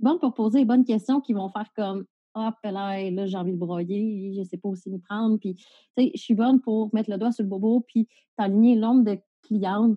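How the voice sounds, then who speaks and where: A woman with a Quebec accent speaks at a moderate pace in a fairly high, somewhat breathy voice with ordinary pitch variation. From Quebec, Valleyfield. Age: 30s. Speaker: police officer and entrepreneur. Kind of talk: casual interview. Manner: animated.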